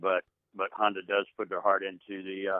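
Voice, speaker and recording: The man speaks with monotone, flat intonation. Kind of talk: casual phone interview. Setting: phone call.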